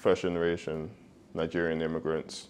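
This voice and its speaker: A man with a London accent, very deep and low in pitch, at a moderate pace. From East London, England. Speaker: professional football player. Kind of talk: podcast interview.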